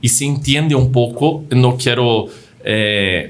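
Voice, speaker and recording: Audible room echo surrounds a man with a non-native accent and a somewhat breathy voice. His pitch is medium and his intonation fairly even. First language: not Spanish (speaking Spanish). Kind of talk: casual chat. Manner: halting.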